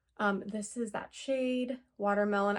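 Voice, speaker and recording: With an unremarkable speaking voice, a woman speaks at a fairly slow pace in a medium pitch, keeping her intonation fairly even. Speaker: beauty youtuber. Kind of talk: product review.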